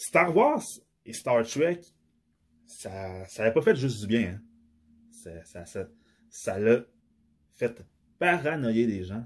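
A man with a Quebec accent talks at a very slow pace. His voice is somewhat breathy, with long, frequent pauses. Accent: Québécois French. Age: 30s. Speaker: podcaster. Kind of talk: solo monologue. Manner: halting, many fillers.

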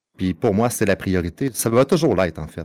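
The speaker is a man with a Quebec accent. His pitch sits fairly low. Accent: Québécois French. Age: 30s. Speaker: streamer and father. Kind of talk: casual chat.

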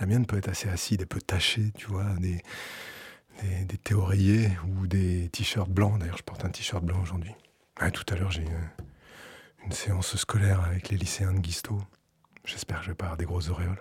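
A man with a very deep, low, somewhat breathy voice speaks in a flat monotone at a moderate pace with long, frequent pauses, in a very clean recording with a silent background. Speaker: radio music programmer. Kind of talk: personal audio essay and studio discussion. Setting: radio studio.

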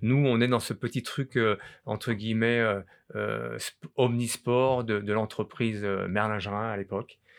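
This man speaks at a very slow pace in a monotone, flat delivery. The recording is very clean, with a silent background. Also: medium pitch for a man. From France, Grenoble. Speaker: former ski champion and coach. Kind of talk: interview. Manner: halting, many repetitions.

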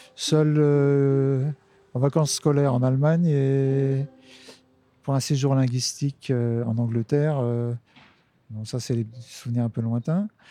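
A man with a fairly high pitch and a dark, mellow tone speaks at a very slow pace with long, frequent pauses. The sound is dry and close, without echo. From Lorraine, France (Nancy suburbs). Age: 50s. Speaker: street musician, harmonica player. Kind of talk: interview conversation. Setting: outdoors on a bench. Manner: hesitant, many fillers.

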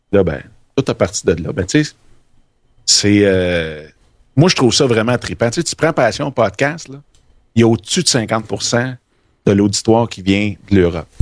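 With a Quebec accent, a man speaks at a fairly slow pace in a fairly low pitch, his intonation lively and his pauses long and frequent. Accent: Québécois French. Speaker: podcaster. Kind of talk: casual chat. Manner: animated.

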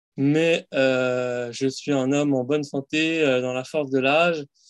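A man speaks in a normal speaking voice, fairly high in pitch, with fairly even intonation. The sound is dry and close, with no echo. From Paris suburbs, France. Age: 30s. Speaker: fasting practitioner. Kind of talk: casual interview.

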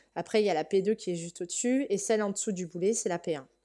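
The voice has a dark, mellow tone and moves at a fairly quick pace with ordinary pitch variation. The recording is very clean, with a silent background. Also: woman. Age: 30s. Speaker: primary school teacher, horse owner. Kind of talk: interview testimony.

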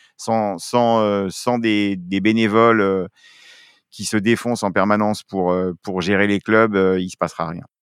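A man's fairly low voice at a fairly slow pace, dry and close with no echo, over a quiet background. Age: 50s. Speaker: film school director, former roller sport official. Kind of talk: interview. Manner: animated.

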